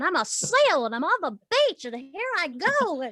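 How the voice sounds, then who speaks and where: An extremely high, put-on character voice swings very widely in pitch. It moves at a moderate pace. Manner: silly, playful.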